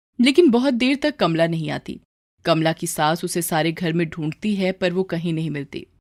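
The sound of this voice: Recorded very cleanly over a silent background, a woman speaks at a moderate pace in a fairly low pitch with a slightly mellow tone and ordinary pitch variation.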